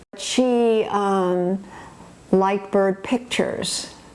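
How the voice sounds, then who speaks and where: A woman speaks with an American accent. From rural US, small farm town. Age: 80s+. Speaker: documentary interviewee. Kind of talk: reminiscing interview. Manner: halting, many fillers.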